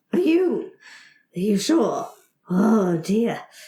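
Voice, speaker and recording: A put-on character voice that sounds female, pitched fairly high for a woman, with very wide swings in pitch. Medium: actual play. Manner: blustering, officious, easily flustered.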